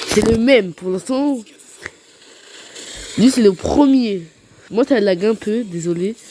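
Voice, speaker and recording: A woman speaks at a very slow pace with lively intonation. Noticeable background noise runs beneath her. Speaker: gaming YouTuber. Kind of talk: gameplay commentary. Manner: soft-spoken.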